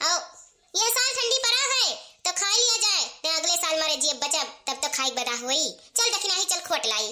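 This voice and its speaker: A woman speaks at a fairly quick pace in a cartoonish character voice, her extremely high pitch swinging very widely. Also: very even loudness. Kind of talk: rustic village comedy. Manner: warm, homely, chatty.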